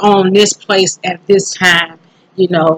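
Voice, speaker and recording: A woman with a South Carolina accent, medium in pitch, at a fairly slow pace. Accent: Southern US (South Carolina). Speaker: YouTuber, self-improvement vlogger. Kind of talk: casual vlog monologue. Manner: hesitant, many fillers.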